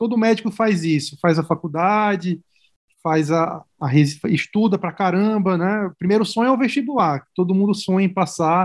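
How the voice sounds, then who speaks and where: Against a quiet background, a man with a high voice speaks at a moderate pace, his pitch varying in an ordinary way. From Brazilian Northeast, Natal (Rio Grande do Norte). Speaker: medical resident in oncology. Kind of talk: casual interview.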